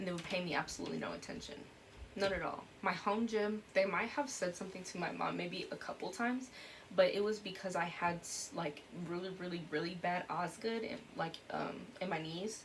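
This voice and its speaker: A woman talks at a fairly quick pace amid noticeable background noise. There is audible room echo. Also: medium pitch for a woman, ordinary pitch variation. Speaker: YouTuber. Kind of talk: personal vlog. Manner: fast.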